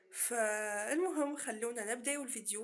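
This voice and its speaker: With a Tunisian accent, the speaker keeps a moderate pace and ordinary pitch variation. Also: woman. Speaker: YouTuber. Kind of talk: casual vlog.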